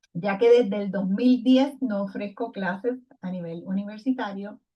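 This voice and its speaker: A somewhat breathy woman at a fairly slow pace, with fairly even intonation. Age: 60s. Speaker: retired education professor. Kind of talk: recorded lecture presentation.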